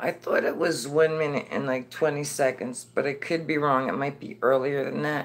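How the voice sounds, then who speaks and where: Speaking at a moderate pace in an American accent, the voice runs on with hardly any pauses. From New Jersey. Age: 50s. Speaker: livestreamer. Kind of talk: casual chat. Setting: indoors, laptop livestream.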